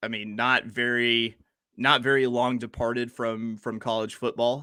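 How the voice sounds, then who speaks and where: A man with a slight Southern US accent, a bright, sharp tone and medium pitch, at a moderate pace in a very clean recording with a silent background. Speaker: sports podcast co-host. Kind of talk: casual chat. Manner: animated.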